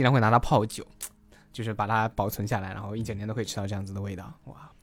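Loudness swings widely as a man talks at a very fast pace. His pitch is fairly low. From Taizhou, Zhejiang, China. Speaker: guest sharing local food and culture. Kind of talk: casual podcast conversation.

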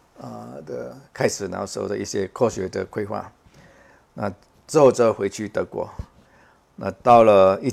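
A man speaks in a fairly low voice with vocal fry. He keeps a moderate pace. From Macau. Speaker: space scientist, professor. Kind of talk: interview. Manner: halting, many fillers.

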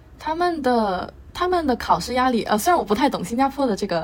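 Amid noticeable background noise, a woman rattles along at a very fast pace with very wide pitch swings. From Beijing, China. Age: 20s. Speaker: university student. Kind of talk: casual interview chat.

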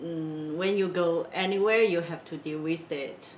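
A woman with a Chinese accent talks fairly slowly, her pitch fairly low. Background noise is noticeable throughout. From China, Wenzhou. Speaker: business consultant, company founder. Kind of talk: interview. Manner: halting, many fillers.

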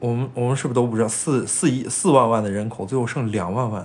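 With audible room echo, a man talks at a fairly quick pace, using a medium pitch and ordinary pitch variation. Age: 20s. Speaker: podcast co-host. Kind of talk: casual chat.

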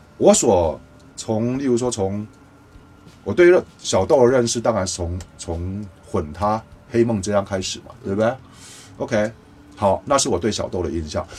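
Over noticeable background noise, a man with a fairly low pitch and lively intonation speaks at a fairly slow pace, with long, frequent pauses. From Taiwan. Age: 50s. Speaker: music producer and mixing engineer. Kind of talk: casual interview chat.

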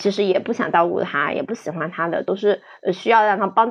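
Her pace fairly quick, a woman speaks at a medium pitch with ordinary pitch variation. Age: 30s. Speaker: counselor presenting a case. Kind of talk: case presentation. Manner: halting.

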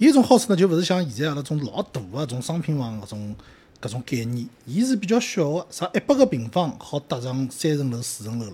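Speaking at a fairly quick pace with a Shanghainese accent, a man has a somewhat breathy voice, a dark, mellow tone, very wide pitch swings and big swings in loudness. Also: fairly high pitch for a man. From Shanghai, Putuo district. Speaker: podcast co-host. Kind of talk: casual chat.

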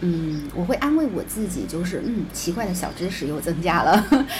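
Over noticeable background noise, a woman with a fairly low voice speaks at a moderate pace. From southern China. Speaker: podcast co-host. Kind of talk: casual chat.

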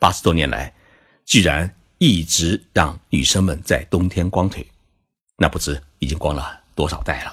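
Spoken with vocal fry at a fairly slow pace, the voice has ordinary pitch variation and long, frequent pauses, on a very clean recording with a silent background. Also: man, very deep, low pitch for a man. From China. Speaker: podcast host, Japan commentator. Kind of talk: scripted narration.

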